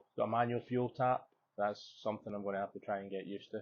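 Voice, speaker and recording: Here a man talks in a relaxed tone with a Scottish accent. His pitch is fairly low. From Scotland. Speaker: motorcycle vlogger. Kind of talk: voice-over narration.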